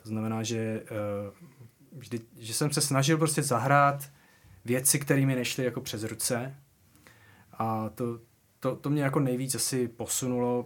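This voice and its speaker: A man speaks at a medium pitch and a fairly slow pace, with fairly even intonation. He leaves long, frequent pauses. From Moravian Wallachia, Czechia. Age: 40s. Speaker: drummer. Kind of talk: casual interview chat. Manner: halting, many fillers and restarts.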